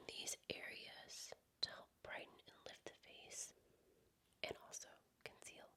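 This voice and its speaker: A woman speaks in a whisper. Her pace is fairly slow. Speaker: makeup artist / beauty creator. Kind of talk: ASMR makeup tutorial. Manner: whispered, soft-spoken.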